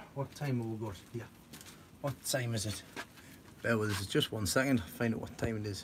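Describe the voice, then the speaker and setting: A man with a Geordie accent speaks at a medium pitch with ordinary pitch variation and long, frequent pauses over noticeable background noise. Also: moderate pace. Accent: Geordie, toned down from thick. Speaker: allotment gardener vlogger. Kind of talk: casual live-stream chat with viewers. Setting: indoors at home.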